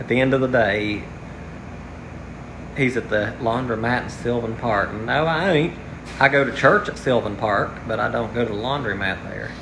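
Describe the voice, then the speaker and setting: With an American accent, a man speaks at a medium pitch and a moderate pace, with ordinary pitch variation and long, frequent pauses. Audible room echo and noticeable background noise fill the recording. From West Virginia. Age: 30s. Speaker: livestreamer. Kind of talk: casual livestream chat. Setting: outdoors. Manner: halting, tongue-tied.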